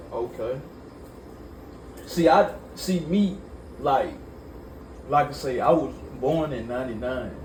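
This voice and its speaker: A man's fairly high-pitched voice at a fairly slow pace, with ordinary pitch variation, long, frequent pauses, audible room echo and noticeable background noise. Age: 20s. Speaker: interviewer. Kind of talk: casual interview. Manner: halting.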